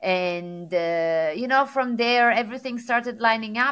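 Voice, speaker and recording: A woman with an Italian accent talks at a fairly slow pace, her pitch fairly high with ordinary variation. Her tone is bright and sharp, and the recording is very clean with a silent background. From Sardinia, Italy. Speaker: tech executive and motivational speaker. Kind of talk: interview. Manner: animated.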